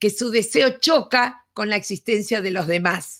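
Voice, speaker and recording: This woman's voice is fairly high, with vocal fry and ordinary pitch variation at a moderate pace. The recording is very clean, with a silent background. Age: 70s. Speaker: education speaker. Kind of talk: lecture.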